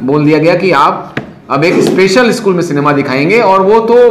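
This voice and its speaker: At a moderate pace, a man talks over noticeable background noise with audible room echo. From North India, Allahabad. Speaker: film society organiser. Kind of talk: talk to students.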